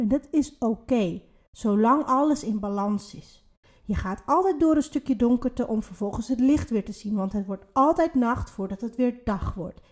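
A woman with a plain, everyday voice speaks at a fairly high pitch. Her pace is fairly slow and her intonation lively. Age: 30s. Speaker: podcast co-host, spiritual coach. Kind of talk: casual chat.

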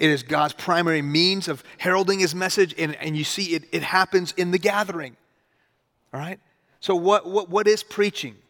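A man with a high pitch speaks in an animated, bright, sharp tone at a moderate pace, with ordinary pitch variation. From US (Houston) with childhood in Iran. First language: Farsi. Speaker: pastor. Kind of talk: sermon. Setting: church.

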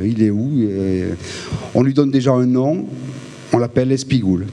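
Noticeable background noise accompanies a man speaking fairly slowly, his pitch varying in an ordinary way. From Provence, Haut-Var (southern France). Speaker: film director. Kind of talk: talk to a live audience. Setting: venue with audience. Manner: halting, many repetitions.

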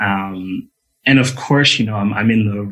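A man speaks in a normal speaking voice at a fairly low pitch. His pace is moderate, with ordinary pitch variation. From Montreal, Canada, Jamaican family. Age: young. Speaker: orchestral double bass player. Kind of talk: radio interview. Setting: remote call into radio show.

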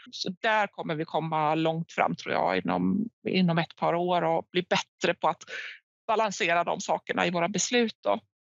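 A woman speaks at a moderate pace with vocal fry, her pitch fairly low and her pitch variation ordinary. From Finland, near Vaasa (Swedish-speaking Ostrobothnia). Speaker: head of sustainability at a recycling company. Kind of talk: interview. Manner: hesitant, with frequent repetitions.

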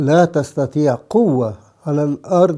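His voice has a dark, mellow tone at a fairly high pitch. The man's intonation is lively. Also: very clean recording, silent background. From Egypt. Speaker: priest. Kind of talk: sermon.

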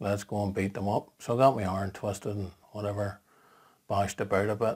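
At a moderate pace, a man with a Northern Irish accent and a fairly low pitch speaks in a flat monotone on a very clean recording with a silent background. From Northern Ireland. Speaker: marketing blogger. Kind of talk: personal vlog monologue.

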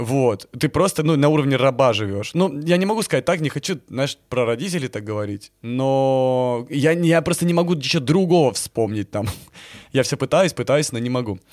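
With lively intonation and medium pitch, a man talks at a moderate pace in a very clean recording with a silent background. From Crimea (Yevpatoria). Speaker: documentary filmmaker and blogger. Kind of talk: casual chat. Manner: animated.

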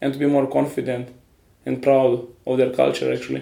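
A man is speaking. His pace is moderate. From Romania. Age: 20s. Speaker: artist. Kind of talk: interview.

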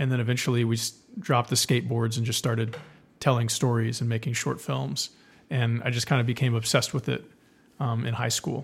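Speaking at a fairly quick pace with an American accent, a man with a medium-pitched, somewhat breathy voice keeps his intonation fairly even on a very clean recording with a silent background. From South Texas. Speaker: filmmaker. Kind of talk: interview.

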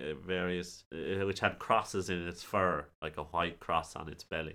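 A man with an Irish accent has a very deep, low pitch and a bright, sharp tone, captured on a very clean recording with a silent background. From Ireland. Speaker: podcast host. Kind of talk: casual chat about folklore.

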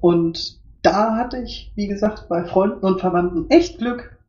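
This woman's somewhat breathy voice unfolds at a fairly slow pace. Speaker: podcast guest. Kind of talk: interview.

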